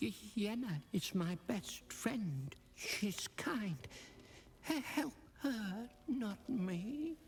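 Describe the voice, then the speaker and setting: A female-sounding put-on character voice at a medium pitch swings very widely in pitch. She goes at a very slow pace with long, frequent pauses over clear background noise. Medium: video game. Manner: stammering, nervous.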